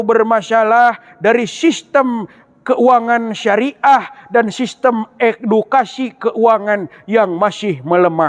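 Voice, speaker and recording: A man speaks very slowly with a high pitch, ordinary pitch variation and very even loudness. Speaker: university student giving an Islamic sermon in a competition. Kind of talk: Islamic sermon (ceramah) competition speech.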